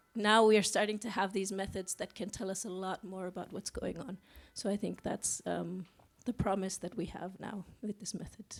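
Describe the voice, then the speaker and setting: A woman's voice sits at a medium pitch, moving at a moderate pace with monotone, flat intonation. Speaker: eDNA scientist, lead author. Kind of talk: press conference answer. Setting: press conference. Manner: hesitant, with fillers and repeats.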